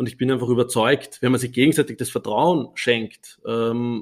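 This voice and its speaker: A man speaks with an Austrian accent. His intonation is fairly even. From Upper Austria. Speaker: startup founder. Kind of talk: interview. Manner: hesitant with many fillers.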